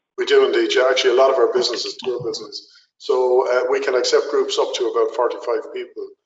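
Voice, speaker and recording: Talking at a very fast pace, a man speaks with an Irish accent. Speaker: tourist attraction representative. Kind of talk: webinar Q&A. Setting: webinar call.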